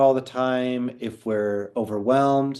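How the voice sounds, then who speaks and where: A man with an ordinary speaking voice and medium pitch talks at a fairly slow pace. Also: quiet background. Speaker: Chinese medicine practitioner teaching a class. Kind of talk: online class lecture. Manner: conversational with fillers.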